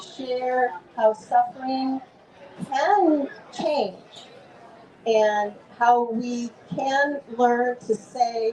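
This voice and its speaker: With noticeable background noise behind her, a woman talks at a very slow pace in a high voice, her pitch varying in an ordinary way. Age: 70s. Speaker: author. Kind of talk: author talk at book fair booth.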